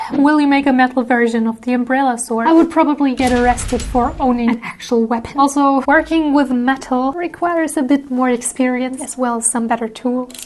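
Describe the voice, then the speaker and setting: A woman's high, playful voice at a fairly quick pace, fairly even in intonation and with hardly any pauses, over noticeable background noise. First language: German. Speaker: cosplay prop maker and artist YouTuber. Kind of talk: Q&A video talk. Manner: casual, playful.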